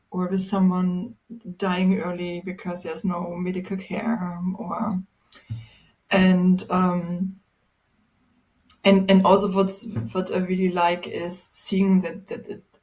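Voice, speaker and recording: With long, frequent pauses, a woman with a German accent speaks very slowly in a monotone, flat way, her voice somewhat breathy. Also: medium pitch for a woman. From Germany, Magdeburg. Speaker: people and culture professional. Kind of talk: casual chat. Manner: halting.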